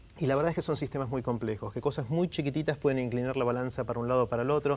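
A man speaks at a medium pitch. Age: 50s. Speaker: TED talks organizer and author; interview guest. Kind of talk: interview. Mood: friendly, thoughtful. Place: studio.

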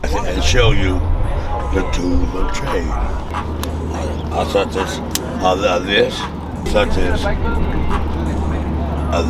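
Loud background noise surrounds this man's voice. The sound itself is dry, with no echo. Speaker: homeless Vietnam veteran. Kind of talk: street interview answer. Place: street. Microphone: camera far.

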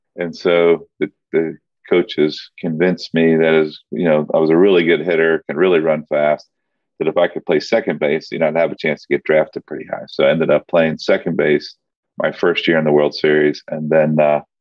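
Against a quiet background, a man speaks at a fairly quick pace, the sound dry with no echo. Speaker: remote podcast guest. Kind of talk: interview answer. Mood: relaxed, reminiscing. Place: office. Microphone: webcam.

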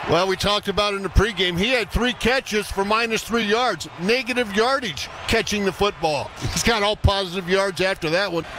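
Speaking at a fairly quick pace, a man has a high pitch and ordinary pitch variation, with a dry sound with no echo and noticeable background noise. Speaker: radio color analyst. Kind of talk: casual sports analysis alongside play-by-play. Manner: conversational, relaxed. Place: booth.

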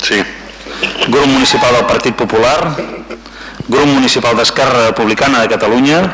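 Against noticeable background noise, a man speaks with long, frequent pauses. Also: moderate pace. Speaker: council secretary calling votes. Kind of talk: formal roll-call vote reading. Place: hall. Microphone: podium.

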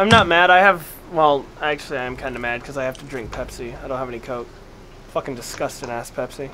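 Noticeable background noise runs under the speech. The pace is very fast. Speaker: gaming streamer. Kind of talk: casual chat. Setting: online voice chat at home. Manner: profane, excitable. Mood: playful, joking, mild annoyance.

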